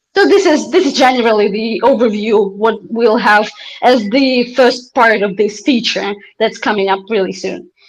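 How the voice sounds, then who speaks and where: Someone with a non-native accent speaks at a moderate pace with ordinary pitch variation. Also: woman, fairly high pitch for a woman. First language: not English. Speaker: company CEO. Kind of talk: interview on livestream. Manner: halting, many fillers.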